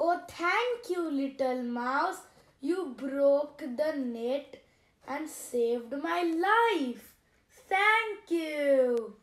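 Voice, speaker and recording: A woman puts on a character voice with a high pitch. She speaks at a very slow pace. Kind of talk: storytelling for children.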